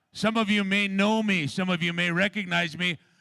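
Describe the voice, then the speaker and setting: Projecting loudly, a man talks with a bright, sharp tone, a high pitch and ordinary pitch variation. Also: very clean recording, silent background. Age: 50s. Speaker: powwow announcer and father of head dancer. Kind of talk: public address at powwow. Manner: animated.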